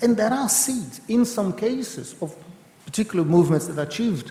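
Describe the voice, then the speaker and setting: Over noticeable background noise, a man talks at a fairly quick pace with lively intonation. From Brazil. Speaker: professor of political economy. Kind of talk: panel discussion. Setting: event with audience and interpreters. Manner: fast.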